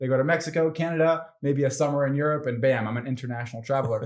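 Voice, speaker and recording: A man with an American accent talks at a very fast pace. His pitch is medium, with ordinary variation. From France, Geneva area (American family). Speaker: sales trainer. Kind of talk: podcast interview. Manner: casual, conversational.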